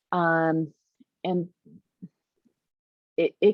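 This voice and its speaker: The speaker is a woman. Her pitch sits fairly low. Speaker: childcare business consultant. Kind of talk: webinar presentation.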